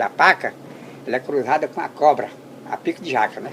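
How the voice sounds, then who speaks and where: A man's fairly quick delivery, with ordinary pitch variation, comes through noticeable background noise. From Brazil, Ceará (Limoeiro do Norte), then Amazon rubber estate. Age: 80s+. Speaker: elderly rubber tapper. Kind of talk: storytelling interview. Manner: animated.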